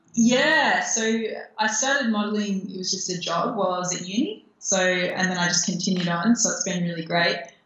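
A woman speaks fairly quickly at a medium pitch with ordinary pitch variation. Room echo is audible. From Australia. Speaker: Muay Thai fighter and model. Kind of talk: interview. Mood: friendly, relaxed. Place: home room. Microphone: video call.

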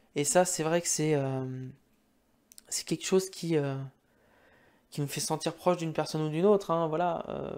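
Pausing long and often, a man speaks at a moderate pace in a fairly high voice with fairly even intonation, over a quiet background. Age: 20s. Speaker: gaming YouTuber. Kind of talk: casual monologue to camera. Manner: halting, many fillers. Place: home room. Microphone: studio mic.

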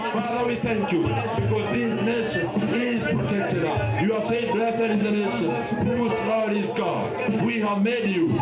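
Against music in the background and audible room echo, a man talks at a fairly slow pace. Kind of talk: public prayer. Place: tent.

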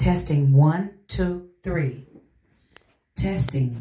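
A somewhat breathy woman's voice at a very slow pace, ordinary pitch variation, audible room echo. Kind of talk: mic range test narration. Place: home room.

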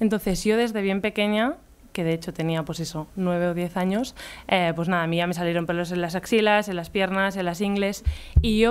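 A woman's voice with ordinary pitch variation over faint background music. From Catalonia, near Barcelona. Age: 20s. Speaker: illustrator and artist; speaker. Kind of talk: conference talk. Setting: stage with audience. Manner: casual, hesitant. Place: hall. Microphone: podium.

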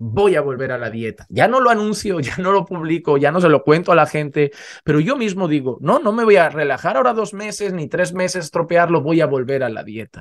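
Barely pausing, a man talks at a fairly quick pace in a high voice that swings very widely in pitch. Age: 30s. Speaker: pastor. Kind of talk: sermon. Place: home room. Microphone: studio mic.

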